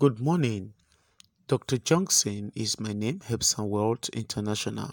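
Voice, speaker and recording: The sound is dry and close, with no echo. A man speaks with a Nigerian accent in a fairly low voice. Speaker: spiritual healer / pastor. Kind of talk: spiritual remedy instruction monologue. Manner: halting, many filler sounds.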